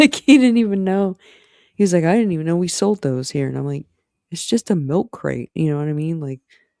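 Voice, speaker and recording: Dry and close with no echo, the sound carries a man's high-pitched voice. His tone is dark and mellow, and his intonation is lively. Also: fairly quick pace. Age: 40s. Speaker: streamer. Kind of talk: casual chat.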